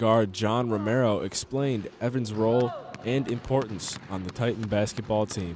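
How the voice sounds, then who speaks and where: Noticeable background noise sits behind a man speaking at a moderate pace with medium pitch and fairly even intonation. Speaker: student sports broadcaster. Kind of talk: sports feature news package.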